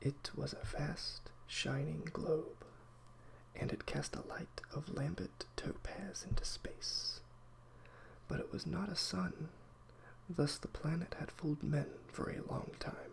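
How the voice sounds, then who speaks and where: Someone is whispering. The pace is very slow. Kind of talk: audiobook reading. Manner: soft-spoken.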